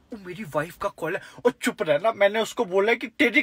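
The background is quiet and the sound is dry with no echo. A man talks at a moderate pace. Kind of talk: comic skit dialogue in Hindi. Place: car. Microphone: phone near.

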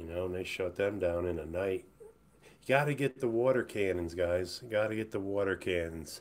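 Someone with an American accent talks at a moderate pace. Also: man. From USA. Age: 50s. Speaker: livestreamer. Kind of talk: casual livestream monologue. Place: home room. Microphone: webcam.

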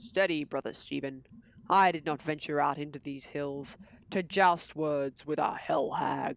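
A woman uses a put-on character voice with a very deep, low pitch. Her pace is moderate. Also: ordinary pitch variation. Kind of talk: pageant theatrics, archaic speech. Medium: game stream. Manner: stalwart, grandiose.

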